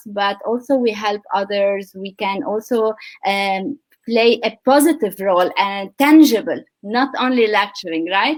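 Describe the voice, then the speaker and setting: A woman speaks at a fairly slow pace with ordinary pitch variation. It is a normal speaking voice. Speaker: podcast host. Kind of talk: interview host questions.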